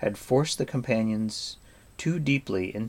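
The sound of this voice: Ordinary pitch variation runs through an unforced reading voice.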